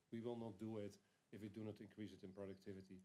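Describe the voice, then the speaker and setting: A man with a non-native accent speaks at a fairly low pitch in a monotone, flat way. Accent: foreign. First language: not English. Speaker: company founder and CEO. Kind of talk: panel presentation. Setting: congressional briefing with audience. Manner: hesitant, many fillers.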